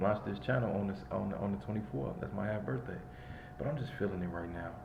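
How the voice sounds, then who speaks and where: Through audible room echo and noticeable background noise, a man with an American accent and fairly low pitch speaks with ordinary pitch variation. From Chicago, Illinois. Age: 30s. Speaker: vlogger. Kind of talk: casual monologue vlog.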